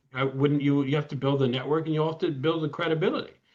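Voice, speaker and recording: A man's voice, fairly high in pitch with ordinary pitch variation, at a very fast pace. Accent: Midwestern American. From US Midwest, Ann Arbor, Michigan. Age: 60s. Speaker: lawyer. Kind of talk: interview. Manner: halting, frequent repetitions.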